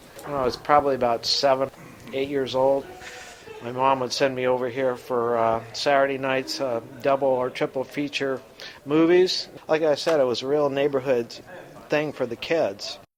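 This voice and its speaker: A man speaks at a moderate pace with a medium pitch and fairly even intonation over noticeable background noise. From US Pacific Northwest, Seattle. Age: 60s. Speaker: local resident. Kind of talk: interview.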